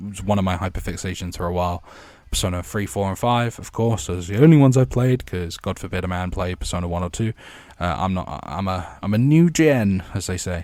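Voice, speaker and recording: Very clean and set against a silent background, the speech runs at a fairly quick pace with ordinary pitch variation. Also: man, very deep, low pitch for a man. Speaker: gaming YouTuber. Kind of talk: casual monologue. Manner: halting.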